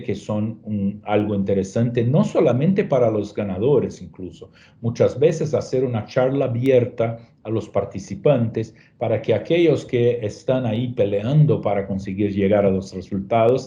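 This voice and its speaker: A man of medium pitch speaks in a Portuguese accent, his tone dark, mellow and somewhat breathy, with ordinary pitch variation. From Brazil. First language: Portuguese (speaking Spanish). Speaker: travel industry presenter. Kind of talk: webinar presentation. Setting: online webinar. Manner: hesitant, frequent fillers.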